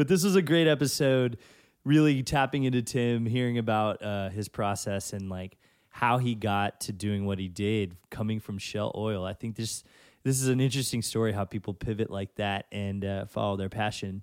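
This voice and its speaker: The recording is very clean, with a silent background. A man speaks at a moderate pace with an American accent and ordinary pitch variation. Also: fairly low pitch for a man. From Texas (Victoria). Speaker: podcast host and DJ. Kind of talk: casual interview chat. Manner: animated.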